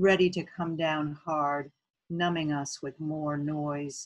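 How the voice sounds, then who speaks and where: A woman talks in a very deep, low pitch. Her pace is very slow, and her intonation is monotone and flat. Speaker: local poet. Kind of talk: poetry reading of her own sestina, with a short spoken introduction. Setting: video recording for an arts festival. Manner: measured, earnest, rallying tone, with repeated refrain words. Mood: measured, reflective. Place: home room. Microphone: webcam.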